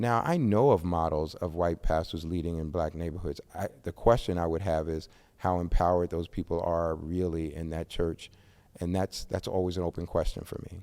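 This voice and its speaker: A man with an American accent speaks with a very deep, low pitch. His tone is dark and mellow, and his intonation is fairly even. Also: moderate pace. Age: 60s. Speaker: pastor and author. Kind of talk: podcast interview.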